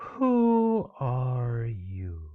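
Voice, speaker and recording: This is a put-on character voice. Its pitch sits in the low-to-middle range. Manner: sleepy.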